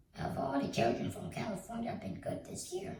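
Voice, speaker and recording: A woman's put-on character voice, raspy and mid-pitched, with very wide pitch swings, a moderate pace and a slight echo. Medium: read story. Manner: booming, jolly.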